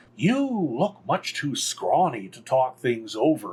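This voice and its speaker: A man puts on a character voice with fairly high pitch. He speaks at a fairly slow pace. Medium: read story. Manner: eager, friendly.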